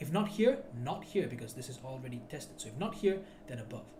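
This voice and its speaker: A man talks at a fairly quick pace with very wide pitch swings, big swings in loudness, and long, frequent pauses. Audible room echo and noticeable background noise fill the recording. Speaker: forex trading teacher. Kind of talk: tutorial. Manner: animated.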